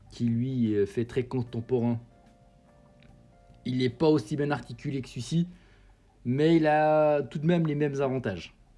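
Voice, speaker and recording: This man has a medium-pitched voice with a dark, mellow tone. He speaks at a fairly slow pace. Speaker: model kit reviewer. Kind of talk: product review. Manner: casual, many fillers.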